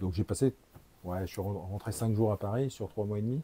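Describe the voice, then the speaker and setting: A man's fairly low, somewhat breathy voice has a dark, mellow tone and ordinary pitch variation, heard in a dry, close sound with no echo. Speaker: actor. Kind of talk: casual chat. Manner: halting; animated.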